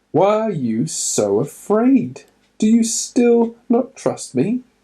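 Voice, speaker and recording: In a put-on character voice, someone speaks very slowly at a fairly high pitch. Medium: read story. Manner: calm, authoritative.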